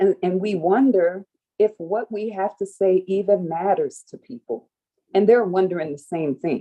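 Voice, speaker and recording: A woman with an American accent and a dark, mellow tone, ordinary pitch variation, big swings in loudness, and a dry, close sound with no echo. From New Orleans, US South. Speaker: spiritual workshop facilitator. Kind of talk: livestream workshop talk. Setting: live stream with chat. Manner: slow.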